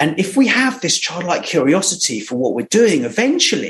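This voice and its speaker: Very wide pitch swings in a British accent. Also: man. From England, Surrey. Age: 40s. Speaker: entrepreneur. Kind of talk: interview storytelling. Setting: remote call. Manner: animated.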